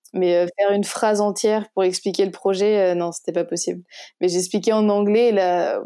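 Moving at a moderate pace, a woman with a dark, mellow tone speaks in a monotone, flat intonation. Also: medium pitch for a woman. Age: 20s. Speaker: founder of a charity, travel journalist. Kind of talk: interview. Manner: halting, many repetitions.

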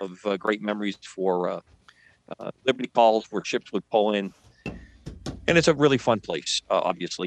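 A plain, everyday voice from a man, medium in pitch, at a moderate pace with ordinary pitch variation and a dry, close sound with no echo. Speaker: radio show co-host. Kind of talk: casual chat.

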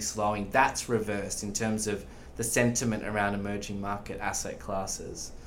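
A man speaks with an Australian accent. The room adds audible echo. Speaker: investment specialist. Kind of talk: podcast interview.

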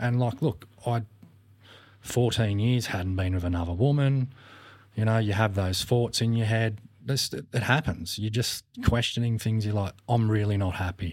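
A man with an Australian accent speaks at a moderate pace in a fairly low voice, with ordinary rises and falls in pitch. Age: 40s. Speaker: podcast guest. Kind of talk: casual chat. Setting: studio.

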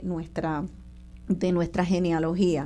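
Talking at a fairly slow pace, a woman has a dark, mellow tone. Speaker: radio host. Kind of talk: radio talk show interview. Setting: radio studio.

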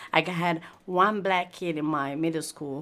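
A very slow, monotone woman's voice with a very deep, low pitch, flat intonation, and an East African accent. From Italy (Milan), Eritrean heritage. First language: not English. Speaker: podcast interviewer. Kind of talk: casual conversation. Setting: bookshop bistro. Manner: halting.

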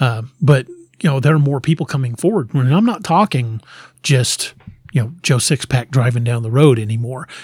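Somewhat breathy, the voice carries an American accent and ordinary pitch variation. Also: man, medium pitch for a man, moderate pace. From Missouri, Lebanon area (US Midwest). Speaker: author. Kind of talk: casual interview.

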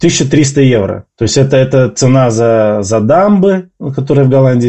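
Lively intonation marks this man's delivery. He talks at a very slow pace. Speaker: emigrant interviewee. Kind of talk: interview. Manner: halting.

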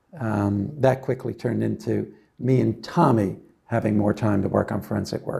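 With an American accent, a man speaks at a moderate pace in a fairly low pitch with ordinary variation. His tone is dark and mellow, and there is vocal fry. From New Jersey. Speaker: company founder and meteorologist. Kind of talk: interview. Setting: studio. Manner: halting, many fillers.

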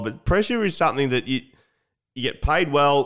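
A man with an Australian accent at a fairly quick pace, on a very clean recording with a silent background. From Victoria, Australia (Lakes Entrance). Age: 30s. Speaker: podcast host, former footballer. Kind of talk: casual chat. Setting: makeshift home bar.

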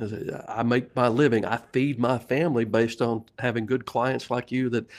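A man with an unremarkable speaking voice talks at a moderate pace and medium pitch. The recording is very clean, with a silent background. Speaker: sales coach and author. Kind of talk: interview chat.

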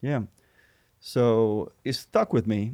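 A man speaks in a Puerto Rican accent at a fairly low pitch, with ordinary pitch variation. The recording is very clean and the background silent. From Puerto Rico. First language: Spanish. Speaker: Spanish teacher. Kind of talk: casual interview conversation.

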